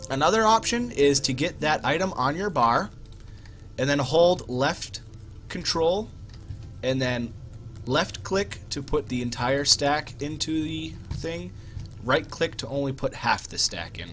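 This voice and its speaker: Over music in the background, a man with a fairly high pitch talks with lively intonation and long, frequent pauses. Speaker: gaming streamer. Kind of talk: live gameplay commentary. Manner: casual, conversational.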